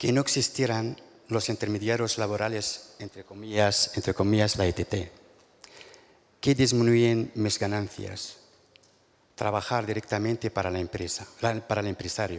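Speaking at a fairly slow pace with long, frequent pauses, a man with a fairly low pitch keeps his intonation fairly even. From Morocco. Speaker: farm worker and union delegate. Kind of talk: panel testimony; testimony at a panel. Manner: halting, stumbling. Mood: hesitant, earnest. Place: stage. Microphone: handheld.

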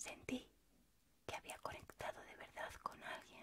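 Loud background noise surrounds a soft-spoken woman whispering at a fairly slow pace. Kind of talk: personal letter-like monologue. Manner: soft, close, near-whispered reading. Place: home room. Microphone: phone near.

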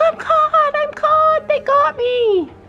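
A put-on character voice, shouting in a panicked tone at an extremely high pitch, with light background noise. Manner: screaming, panicked.

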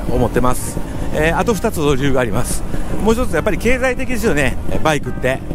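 A man talks at a very fast pace with a dry sound and no echo. Noticeable background noise runs underneath. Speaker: scooter rider vlogger. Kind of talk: casual vlog chat. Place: motorbike.

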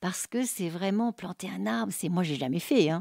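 A woman with a dark, mellow tone is captured on a very clean recording with a silent background and a dry, close sound with no echo. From Paris region, France. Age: 60s. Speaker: art therapist. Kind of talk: testimony.

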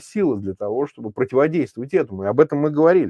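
A man's fairly high-pitched voice with a dark, mellow tone, dry sound with no echo, and a quiet background. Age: 50s. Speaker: opposition politician and political commentator; opposition politician, political commentator. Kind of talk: live stream political discussion. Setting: remote link while traveling. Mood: serious, analytical. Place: home room. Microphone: lapel.

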